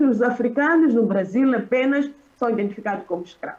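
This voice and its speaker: A woman's high-pitched voice at a moderate pace, with ordinary pitch variation, against noticeable background noise. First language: Xichangana (speaking Portuguese). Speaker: academic panelist. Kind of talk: conference panel talk. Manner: halting. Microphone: poor internet connection.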